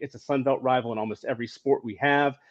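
A man with a plain, everyday voice, medium pitch and a fairly quick pace, in a dry, close sound with no echo and a quiet background. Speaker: co-host. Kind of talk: casual sports talk. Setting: video call with microphone.

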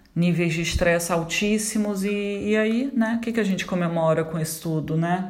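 A woman's fairly slow speech carries audible echo from the room. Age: 40s. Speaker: therapist. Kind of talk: solo vlog monologue. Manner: conversational, frequent hesitations.

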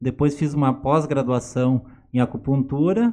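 Pitched fairly high, a man speaks in a dark, mellow tone. His pitch varies in an ordinary way. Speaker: pharmacist and acupuncturist. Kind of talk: casual chat.

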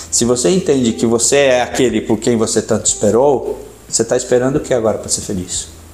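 A man talks at a very fast clip with ordinary pitch variation. Background noise is noticeable. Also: medium pitch for a man. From São Paulo, Brazil. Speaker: entrepreneur and angel investor. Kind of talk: podcast interview.

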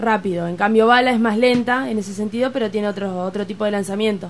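A woman's fairly high voice with an Argentine accent. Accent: Rioplatense Argentine Spanish. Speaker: youth handball coach. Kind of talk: casual chat.

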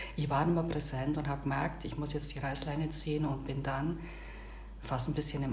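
Noticeable background noise and audible room echo fill the recording. A woman speaks with a Swabian accent. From Bavarian Swabia, Augsburg area. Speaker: podcast co-host. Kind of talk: casual chat.

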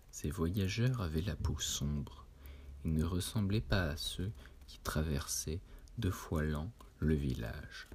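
Long, frequent pauses mark a man's very slow speech. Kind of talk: literary audiobook reading of Lovecraft tales, solemn gothic narration. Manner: slow, measured and formal, with a dreamy, hushed storyteller's cadence; grave and atmospheric, lingering on long sentences with a somber tone.

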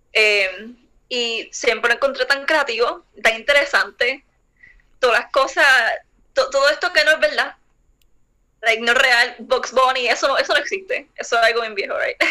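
A woman with a high pitch and a bright, sharp tone uses a raised, projected voice at a moderate pace. She leaves long, frequent pauses. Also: ordinary pitch variation. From Puerto Rico. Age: 20s. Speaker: visual artist. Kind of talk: interview.

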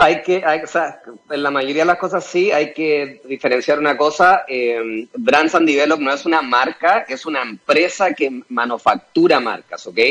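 This man has a fairly high pitch and a Chilean accent. He talks at a fairly slow pace with hardly any pauses. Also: ordinary pitch variation. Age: 40s. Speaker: entrepreneur and former pro skateboarder. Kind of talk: interview.

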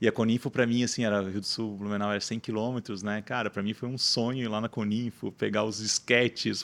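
The intonation is monotone and flat, at a fairly quick pace. Everything sits on a very clean recording with a silent background. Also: man. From Santa Catarina, Brazil (Rio do Sul). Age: 30s. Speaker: marketing agency founder. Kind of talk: podcast interview.

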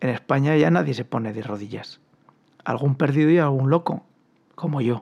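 A man with a medium-pitched voice speaks with ordinary pitch variation and long, frequent pauses. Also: moderate pace. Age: 50s. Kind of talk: commentary monologue.

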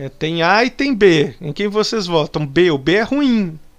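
High-pitched male speech at a fairly slow pace, with lively intonation. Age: 30s. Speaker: radio host. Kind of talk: casual commentary. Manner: animated.

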